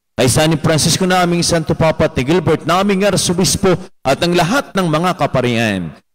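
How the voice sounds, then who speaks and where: Moderate pace, ordinary pitch variation and very even loudness. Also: man, high pitch for a man. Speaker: priest. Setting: church. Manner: formal, solemn, devout. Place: church.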